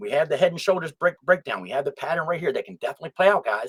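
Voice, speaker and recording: An animated man speaks in dry, close sound with no echo. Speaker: crypto YouTuber. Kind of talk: casual market analysis video. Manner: halting, stuttering and jumping around.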